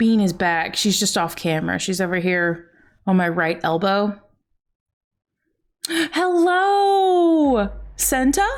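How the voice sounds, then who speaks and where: A very slow pace with very even loudness and long, frequent pauses. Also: woman. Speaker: livestreamer knitting on stream. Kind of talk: casual live stream chat.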